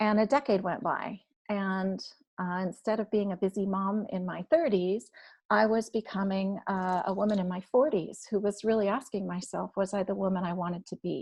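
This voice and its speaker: In an ordinary speaking voice, a woman talks at a moderate pace and medium pitch with fairly even intonation over a quiet background. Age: 50s. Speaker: recovery blogger and author. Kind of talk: testimony. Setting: live-streamed online podcast panel.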